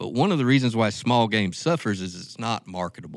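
This man talks with an Ozark accent at medium pitch and a fairly quick pace. His intonation is lively, and the recording is very clean with a silent background. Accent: Ozark Southern US. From Ozarks, Arkansas/Oklahoma. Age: 50s. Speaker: event founder. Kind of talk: casual interview.

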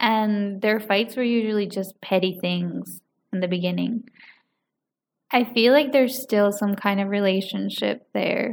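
A woman with an unremarkable speaking voice talks at a fairly slow pace, her medium pitch held in fairly even intonation. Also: very clean recording, silent background. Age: 20s. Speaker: podcast guest. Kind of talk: casual chat.

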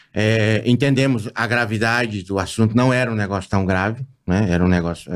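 The man keeps a medium pitch with ordinary pitch variation and moves at a fairly quick pace. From Tocantins, Brazil. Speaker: announcer and internet voice personality. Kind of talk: casual chat. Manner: animated.

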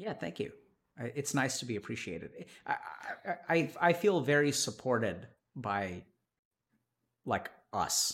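Speaking at a fairly slow pace with long, frequent pauses, a man with a fairly high pitch and vocal fry swings his pitch very widely. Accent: American. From Texas. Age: 30s. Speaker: mental health doctor and streamer. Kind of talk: casual one-on-one conversation. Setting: live stream.

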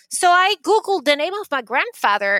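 With a Venezuelan accent, the voice swings very widely in pitch at a moderate pace, its bright, sharp tone heard dry and close with no echo. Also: woman. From Venezuela, Caracas. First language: Spanish. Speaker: art advisor and author. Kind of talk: interview storytelling.

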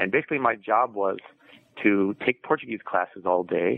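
A man with an Upper Midwest accent, fairly low pitch and a fairly quick pace. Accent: Upper Midwest American. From US Midwest, Madison, Wisconsin. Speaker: historian and author. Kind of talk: interview.

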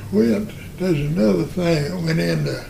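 A man with a Southern US accent speaks at a moderate pace in a fairly high voice, his pitch swinging very widely over noticeable background noise. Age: 80s. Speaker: elderly relative telling family stories. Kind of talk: casual interview storytelling.

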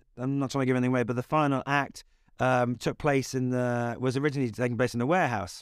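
In a West Midlands accent, a man talks at a medium pitch on a very clean recording with a silent background. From West Midlands, England. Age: 40s. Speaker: film and TV director. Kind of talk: interview.

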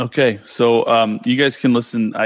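With an American accent, a man talks in a fairly even intonation, the sound dry and close with no echo. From California, Sacramento. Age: 40s. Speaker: podcast guest. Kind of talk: casual chat.

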